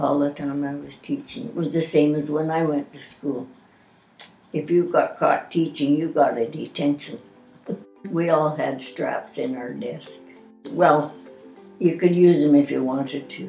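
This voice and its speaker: A woman with a very deep, low pitch speaks at a fairly slow pace with ordinary pitch variation and long, frequent pauses. Music plays in the background, and her loudness swings widely. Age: 80s+. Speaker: retired teacher. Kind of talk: interview answer.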